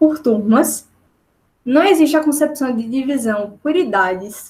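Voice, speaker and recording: Audible room echo surrounds a woman whose intonation is lively. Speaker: teacher. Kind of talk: webinar lecture. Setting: video call.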